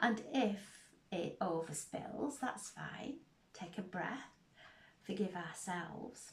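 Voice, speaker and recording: The speaker is soft-spoken, with lively intonation, a very slow pace and long, frequent pauses. Room echo is audible. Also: woman, medium pitch for a woman. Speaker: tarot reader. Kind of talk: spiritual tarot reading.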